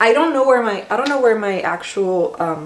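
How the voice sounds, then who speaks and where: At a fairly quick pace, a woman speaks amid noticeable background noise and audible room echo. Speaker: vlogger. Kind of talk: casual cooking vlog. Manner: chatty, casual with fillers.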